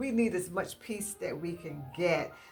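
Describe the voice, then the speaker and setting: Lively intonation carries a fairly slow delivery, with music playing in the background. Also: woman. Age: 60s. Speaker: home decor YouTuber. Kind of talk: casual vlog talk to viewers. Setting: at home in dining room. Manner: hesitant, many fillers.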